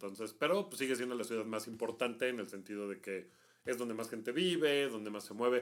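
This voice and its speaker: This man has an unremarkable speaking voice, a medium pitch and a fairly quick pace. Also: ordinary pitch variation. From Mexico. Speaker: travel podcast co-host. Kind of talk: casual chat.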